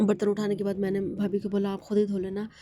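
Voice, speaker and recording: A woman's dark, mellow voice at a very fast pace, in a monotone with flat intonation. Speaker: vlogger. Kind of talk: vlog narration. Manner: rambling, repetitive.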